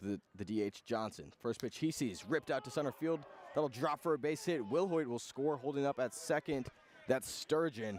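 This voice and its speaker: A man with a normal speaking voice talks at a fairly high pitch. His intonation is lively. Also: moderate pace. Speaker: radio baseball play-by-play announcer. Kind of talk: live sports radio play-by-play commentary. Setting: outdoors at a baseball stadium broadcast booth.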